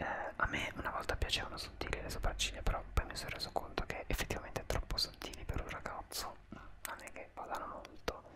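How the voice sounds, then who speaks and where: A soft-spoken man at a very fast pace over loud background noise. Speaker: vlogger. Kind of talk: casual vlog chat. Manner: soft close-mic ASMR murmur. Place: home room. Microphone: studio mic.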